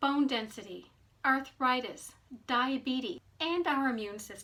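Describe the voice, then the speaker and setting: A woman's high-pitched, raised and projected voice at a fairly slow pace. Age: 60s. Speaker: nutrition coach, health vlogger. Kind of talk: informational talk to camera.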